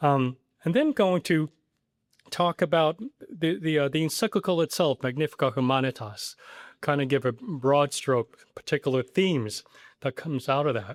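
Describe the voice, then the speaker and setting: Fairly high male voice with ordinary pitch variation, a moderate pace and a dry, close sound with no echo. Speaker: priest and theologian giving a talk. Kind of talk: lecture. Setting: live talk to audience, also streamed on Zoom. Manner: hesitant, many fillers.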